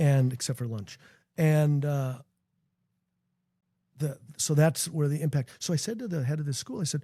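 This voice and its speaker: Somewhat breathy and dark, mellow in tone, a man talks at a moderate pace with ordinary pitch variation and long, frequent pauses. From Minnesota, US Midwest. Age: 60s. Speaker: founder of a youth character-education nonprofit. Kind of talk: podcast interview. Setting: basement studio. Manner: animated.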